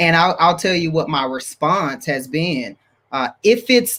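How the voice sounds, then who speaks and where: Loud and bright with a sharp tone, a man talks at a moderate pace in a high pitch. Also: very clean recording, silent background. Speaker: marriage ministry leader. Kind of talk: panel discussion. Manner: high energy.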